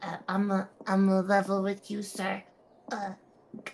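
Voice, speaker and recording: A female-sounding put-on character voice at a medium pitch, moderate in pace, with monotone, flat intonation. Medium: actual play. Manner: halting, stammering.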